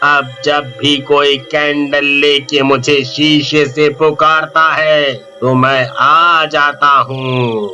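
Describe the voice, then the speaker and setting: Clear music plays in the background as a man puts on a character voice. It is fairly high in pitch and delivered at a very slow pace. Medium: read story.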